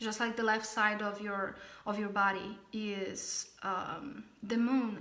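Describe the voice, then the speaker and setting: A woman speaks in a bright, sharp tone, with audible room echo. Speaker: spiritual channeler teaching a class. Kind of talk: online class. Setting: alone at home recording a video. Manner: halting.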